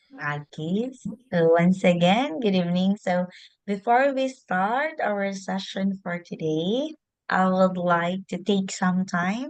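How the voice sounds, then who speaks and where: A very slow-paced woman's voice of medium pitch, its pitch varying in an ordinary way. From Philippines. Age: 30s. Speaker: English teacher. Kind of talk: online lesson. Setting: video call.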